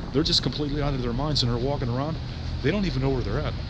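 A man's fairly high-pitched voice with fairly even intonation, over noticeable background noise. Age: 40s. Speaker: homeless vlogger; vlogger. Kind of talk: casual vlog monologue; casual vlog chat. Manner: halting, repetitive. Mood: concerned, earnest. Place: street. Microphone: phone near.

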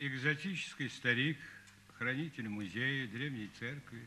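Over light background noise, a man with a bright, sharp tone speaks fairly slowly with ordinary pitch variation. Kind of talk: dramatic film dialogue. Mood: wry, philosophical, world-weary.

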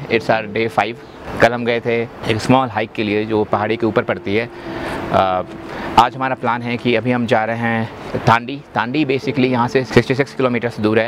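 The recording has noticeable background noise and a dry sound with no echo. The speaker talks at a moderate pace with monotone, flat intonation. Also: man. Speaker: travel vlogger. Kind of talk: casual vlog chat. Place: open country. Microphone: phone near.

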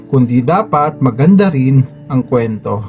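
A man speaks at a fairly slow pace with lively intonation. Music can be heard in the background. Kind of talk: spoken word poetry reading. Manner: earnest, advisory.

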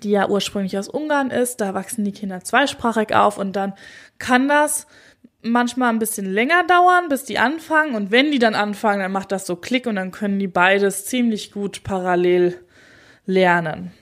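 A woman speaks in an ordinary speaking voice at a fairly high pitch and moderate pace, with lively intonation, on a very clean recording with a silent background. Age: 30s. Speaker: doula and birth psychologist, podcast host. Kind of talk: solo podcast monologue. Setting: standing while recording. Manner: casual, conversational.

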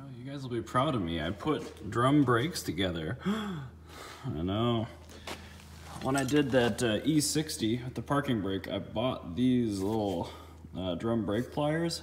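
The voice is somewhat breathy and moves at a fairly slow pace. Its intonation is lively, with light background noise. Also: man. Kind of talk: casual vlog chat. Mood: excited, upbeat. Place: garage. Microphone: phone near.

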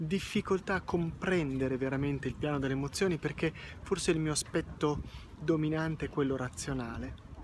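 A man speaks at a moderate pace over light background noise. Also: dry sound with no echo. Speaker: personal vlogger. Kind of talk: reflective walking vlog monologue. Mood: calm, reflective, personal. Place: street. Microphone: earbuds.

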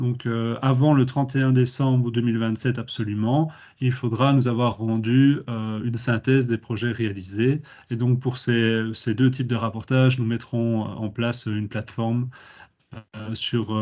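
Against a quiet background, a man speaks at a very slow pace with fairly even intonation. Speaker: public administration official. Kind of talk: webinar presentation. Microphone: laggy connection; video call.

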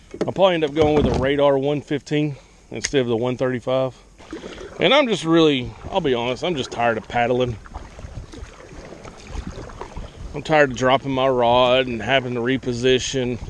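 A man at a fairly quick pace with fairly even intonation, light background noise and a dry sound with no echo. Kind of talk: casual vlog chat. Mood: relaxed, chatty. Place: waterside. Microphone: camera far.

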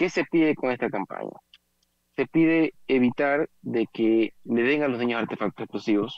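A man at a fairly slow pace with ordinary pitch variation, dry sound with no echo, and a quiet background. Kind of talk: interview answer. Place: office. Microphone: video call.

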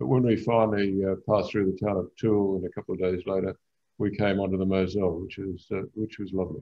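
This man talks very fast at a fairly low pitch, his intonation fairly even. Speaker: author and boating traveller; webinar presenter. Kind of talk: illustrated travel talk. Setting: video call. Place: home room. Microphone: video call.

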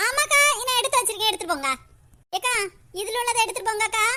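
Putting on a squeaky character voice, a woman talks at a fairly quick pace with extremely high pitch and lively intonation. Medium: cartoon. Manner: sweet, deferential.

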